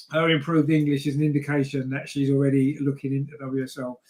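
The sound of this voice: A man's slightly mellow voice in a flat monotone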